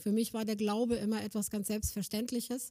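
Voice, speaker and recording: Here is a woman with a fairly high pitch. Her tone is dark and mellow. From northern Germany, Schleswig-Holstein (Kreis Plön). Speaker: missionary organisation worker. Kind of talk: sermon-style talk.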